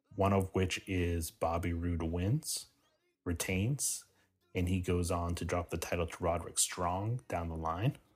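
With a very deep, low pitch and a somewhat breathy voice, a man speaks at a fairly slow pace on a very clean recording with a silent background. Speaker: wrestling podcast host. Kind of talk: solo podcast predictions. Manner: playful heel persona, boastful.

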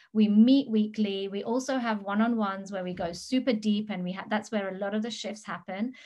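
A woman at a fairly quick pace, somewhat breathy, with a dark, mellow tone and a quiet background. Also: fairly high pitch for a woman. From England. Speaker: business mentor. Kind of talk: interview. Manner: animated.

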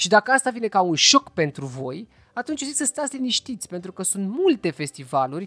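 A man speaks at a moderate pace in a high pitch, his voice swinging very widely up and down. The sound is dry and close with no echo, over a quiet background. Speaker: podcast host. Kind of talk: casual chat; news roundup.

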